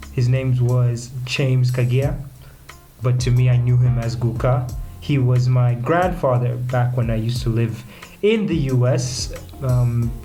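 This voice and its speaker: With music in the background and audible room echo, a man in an American accent speaks at a medium pitch with fairly even intonation and very even loudness. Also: fairly slow pace. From United States, later Kenya. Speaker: podcast host. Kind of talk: casual podcast monologue.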